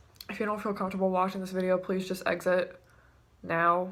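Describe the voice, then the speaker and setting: Speaking at a moderate pace with a medium pitch, a woman's shaky voice stays monotone and flat, with audible room echo around it. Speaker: vlogger. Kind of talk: personal testimony vlog. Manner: halting.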